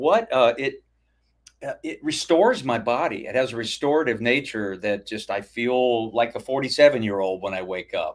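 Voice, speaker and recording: This man speaks at a fairly high pitch and a moderate pace. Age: 60s. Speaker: hammock camping YouTuber. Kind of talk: live stream interview. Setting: live stream.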